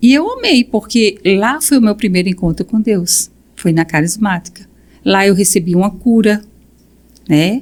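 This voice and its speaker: At a fairly slow pace, a woman speaks with long, frequent pauses and very even loudness. Her medium pitch shows ordinary variation. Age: 60s. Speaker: guest. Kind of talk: testimony. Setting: podcast recording.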